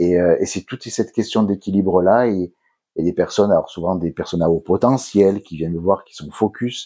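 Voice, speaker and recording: Speaking with a southern French accent, a man has a fairly low pitch, a dark, mellow tone and ordinary pitch variation. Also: moderate pace, dry, close sound with no echo. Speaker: hypnotherapist. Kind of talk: interview. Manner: hesitant, many fillers.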